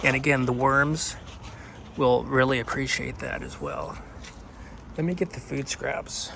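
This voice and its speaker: Amid noticeable background noise, a man speaks fairly slowly, with big swings in loudness and long, frequent pauses. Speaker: gardening video host. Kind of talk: tutorial. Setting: outdoors at night in a city yard. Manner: whispering; casual, with fillers and restarts.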